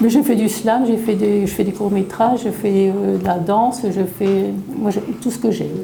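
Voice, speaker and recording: A woman's medium-pitched voice at a moderate pace, with fairly even intonation, audible room echo and noticeable background noise. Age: 60s. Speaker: retiree, amateur theatre participant. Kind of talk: interview testimony.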